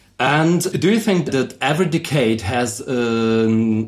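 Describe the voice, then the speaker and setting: A man speaks at a medium pitch with a German accent. Room echo is audible around his voice. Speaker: podcast host. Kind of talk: casual interview. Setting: concert venue backstage.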